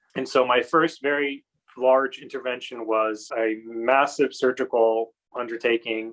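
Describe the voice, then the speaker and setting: A man with a General American accent has a plain, everyday voice at medium pitch. He keeps a fairly slow pace and fairly even intonation. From California. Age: 30s. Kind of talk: personal testimony.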